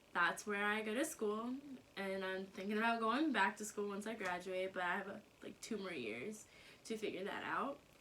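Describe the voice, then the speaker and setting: A woman with an American accent and an unremarkable speaking voice, at a medium pitch and moderate pace, with ordinary pitch variation. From US South, North Carolina. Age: 20s. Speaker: YouTuber. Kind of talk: casual vlog Q&A. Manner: casual, many fillers.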